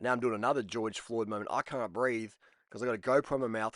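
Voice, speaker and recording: Over a quiet background, a man with an Australian accent speaks at a very fast pace in an animated tone. His medium-pitched voice sounds dry and close, with no echo. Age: 40s. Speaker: cycling vlogger. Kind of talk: casual video commentary.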